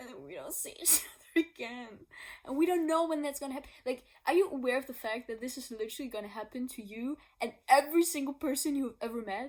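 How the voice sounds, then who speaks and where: A high-pitched woman with a non-native accent at a very fast pace, ordinary pitch variation and big swings in loudness. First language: not English. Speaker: singer-songwriter. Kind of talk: casual explanation vlog. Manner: laughing; spontaneous, unscripted.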